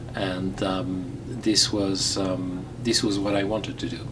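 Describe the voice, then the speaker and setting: A man talks at a fairly slow pace and a fairly low pitch, with ordinary pitch variation. Audible room echo and noticeable background noise fill the recording. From Belgium, Flemish-speaking. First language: Flemish/Dutch. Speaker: radiologist, president of a medical society. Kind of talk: interview. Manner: halting, with many fillers; formal.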